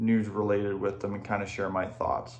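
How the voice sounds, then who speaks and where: A man speaks in a monotone, flat intonation, with audible room echo around him. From Ontario, Canada. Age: 20s. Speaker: hockey YouTuber. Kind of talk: casual channel introduction. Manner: casual, filler-heavy.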